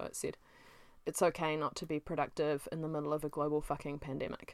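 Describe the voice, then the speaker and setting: In a very clean recording with a silent background, a woman with a New Zealand accent speaks at a moderate pace in a fairly low pitch. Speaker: self-published author and podcast host. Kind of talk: casual solo monologue.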